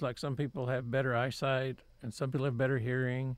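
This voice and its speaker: With a Texan accent, a man speaks at a fairly quick pace and a medium pitch. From Texas, Waco. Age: 70s. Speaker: painter. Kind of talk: interview. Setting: studio.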